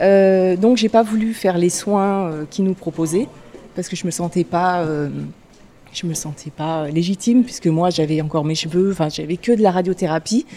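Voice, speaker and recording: Speech comes at a moderate pace with ordinary pitch variation. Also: woman. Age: 40s. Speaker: cancer patient. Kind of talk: personal testimony. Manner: halting, hesitant.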